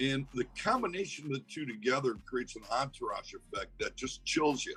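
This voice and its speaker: Background music plays throughout. Over it, a male voice holds a moderate speed. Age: 60s. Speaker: actor and cannabis farmer. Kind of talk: interview answer. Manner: casual, anecdotal.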